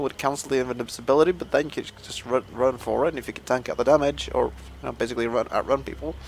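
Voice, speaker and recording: Over noticeable background noise, a man with a non-native accent talks very fast at a medium pitch with ordinary pitch variation. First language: not English. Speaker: gaming YouTuber. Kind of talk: let's play commentary. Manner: casual, thinking aloud.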